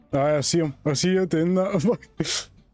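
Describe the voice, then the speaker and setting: The speech unfolds at a very slow pace. Music plays in the background. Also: man. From Scotland. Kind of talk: casual gaming chat. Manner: loud.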